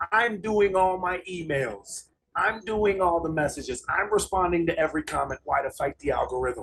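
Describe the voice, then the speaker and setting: At a moderate pace, a man speaks at a high pitch with lively intonation. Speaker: MMA fighter. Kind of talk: interview conversation. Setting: on a train.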